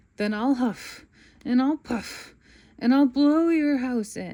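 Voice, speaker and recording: Bellowing in a put-on character voice, a woman uses a high pitch and a fairly slow pace. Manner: roaring, menacing.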